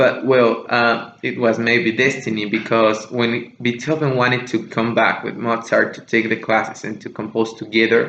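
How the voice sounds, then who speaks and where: There are hardly any pauses as a man talks in a monotone, flat way. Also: medium pitch for a man. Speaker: music podcast host. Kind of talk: casual monologue podcast. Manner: slower than usual, deliberate; hesitant, many fillers.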